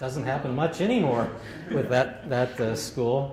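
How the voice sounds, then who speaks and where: A man's voice with audible room echo. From Southern California, Santa Ana. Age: 60s. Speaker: longtime local resident. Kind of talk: oral history interview. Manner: halting, many fillers.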